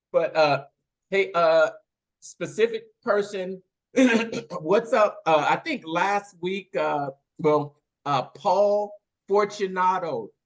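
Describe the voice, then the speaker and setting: A man talks at a very slow pace with long, frequent pauses. His pitch is high, with ordinary variation. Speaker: podcast host. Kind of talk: casual chat. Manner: halting, many fillers.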